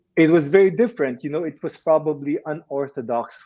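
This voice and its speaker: A man with a Filipino accent at a fairly quick pace. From Philippines. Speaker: actor. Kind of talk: interview. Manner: halting, with repetitions. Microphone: connection breaking up.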